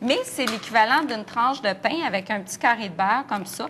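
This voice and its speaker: A woman talks at a fairly quick pace with lively intonation and a fairly high pitch. Noticeable background noise runs underneath. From Quebec. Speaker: nutrition expert. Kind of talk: TV morning show interview.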